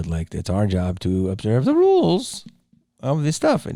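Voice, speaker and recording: A strained, put-on character voice from a man, medium in pitch and moderate in pace. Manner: strained, as if choking on the word.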